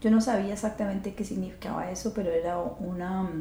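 There's noticeable background noise and audible room echo around this woman's voice. She speaks at a moderate pace and medium pitch, with monotone, flat intonation. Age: 50s. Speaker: podcast host and astrologer. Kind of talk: reflective monologue.

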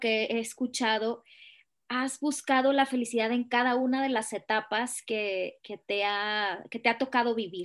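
A woman's high voice moves at a fairly slow pace. Her intonation stays fairly even. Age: 30s. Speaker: podcast host. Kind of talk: interview conversation.

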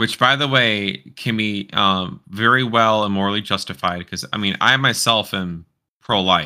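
With a plain, everyday voice, a man speaks at a fairly slow pace, using ordinary pitch variation. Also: fairly low pitch for a man. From US South, southeast Houston, Texas. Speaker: furry content creator. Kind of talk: casual political discussion.

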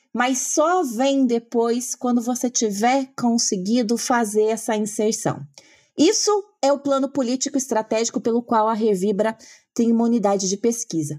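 With very even loudness and ordinary pitch variation, a woman talks at a moderate pace in a normal speaking voice. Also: fairly high pitch for a woman, very clean recording, silent background. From Brazil, Paraná. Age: 30s. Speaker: political scientist. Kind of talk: interview conversation.

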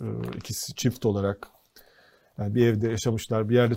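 On a very clean recording with a silent background, a man with a dark, mellow tone and medium pitch speaks at a moderate pace with monotone, flat intonation. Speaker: TV co-host. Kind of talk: casual political talk show.

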